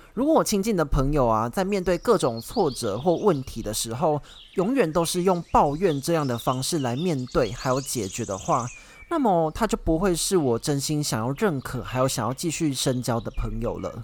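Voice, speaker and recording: At a moderate pace, a man's fairly high pitch swings very widely. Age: 20s. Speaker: podcast host. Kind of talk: solo podcast monologue. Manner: casual, conversational.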